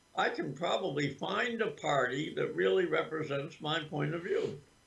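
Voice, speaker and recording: Very slow pace from a man's voice. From Vermont. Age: 80s+. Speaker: political activist. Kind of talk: interview. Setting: livestream interview. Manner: halting.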